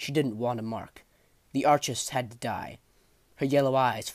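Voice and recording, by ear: The clip is read aloud. It comes in a natural voice.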